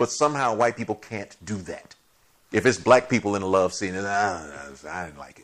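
A man with a plain, everyday voice, fairly low in pitch, at a fairly quick pace, with ordinary pitch variation and big swings in loudness. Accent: American. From Chicago. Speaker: TV writer and director. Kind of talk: casual chat.

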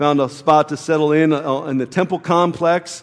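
A man with a plain, everyday voice, fairly high in pitch, at a moderate pace with fairly even intonation. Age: 40s. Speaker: pastor. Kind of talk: sermon. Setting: church.

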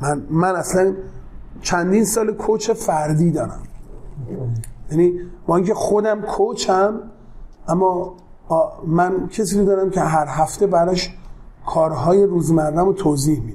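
A man with a high pitch and ordinary pitch variation speaks at a moderate pace, leaving long, frequent pauses. Room echo can be heard. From Tehran, Iran (south Tehran). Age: 40s. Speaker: entrepreneur, company CEO. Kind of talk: interview. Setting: office.

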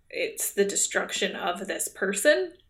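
A woman talks at a fairly slow pace and a medium pitch. She has a normal speaking voice. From Canada. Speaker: podcast co-host. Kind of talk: casual chat. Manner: laughs often.

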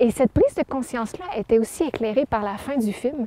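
A woman speaks at a fairly high pitch in a dark, mellow tone, with ordinary pitch variation and a moderate pace. The sound is dry and close with no echo, over a quiet background. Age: young. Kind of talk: testimony.

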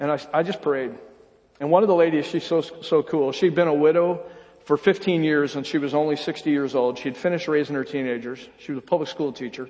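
A man's normal speaking voice with an American accent, fairly high in pitch, fairly even in intonation, at a fairly quick pace. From upstate New York. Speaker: pastor. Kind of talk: sermon. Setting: church.

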